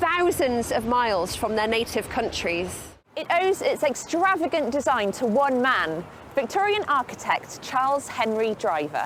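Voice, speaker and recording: Over noticeable background noise, a woman sounds enthusiastic, speaking fairly slowly in a high pitch with very wide pitch swings. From north Wales. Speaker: archaeologist and TV presenter. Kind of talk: TV documentary presenting.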